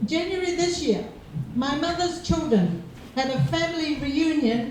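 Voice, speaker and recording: A woman at a moderate pace with lively intonation, amid audible room echo and noticeable background noise. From Cook Islands. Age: 60s. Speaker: public speaker. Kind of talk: seminar talk.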